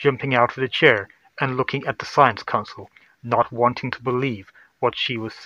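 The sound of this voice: Intonation stays fairly even in this unforced reading voice. Behind it, the background is quiet.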